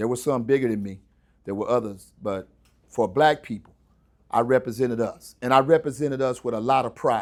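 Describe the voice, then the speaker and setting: A man talks at a moderate speed, his pitch varying in an ordinary way. The background is silent and the recording very clean. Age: 60s. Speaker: retired landscaper, guest speaker. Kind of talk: motivational talk to students. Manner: animated.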